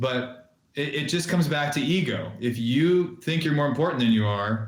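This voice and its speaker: Amid audible room echo, a somewhat breathy man at medium pitch speaks with lively intonation at a moderate pace. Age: 40s. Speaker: entrepreneur, social media marketing business owner. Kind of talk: casual interview chat.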